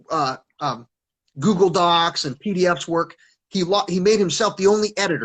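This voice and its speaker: A loud, high-pitched man at a fairly quick pace against a quiet background. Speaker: self-described teacher with online following. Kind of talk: casual chat. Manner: halting.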